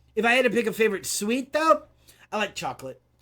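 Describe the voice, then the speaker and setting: A man projects his raised voice at a high pitch with a bright, sharp tone. The recording is very clean, with a silent background. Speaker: video game community manager. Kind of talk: casual chat. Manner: halting, many fillers and repeats.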